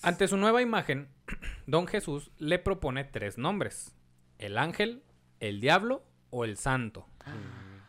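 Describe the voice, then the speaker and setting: A man with a Mexican accent talks at a very slow pace in a fairly high voice with very wide pitch swings. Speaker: podcast host and history storyteller. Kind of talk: history storytelling narration; casual chat.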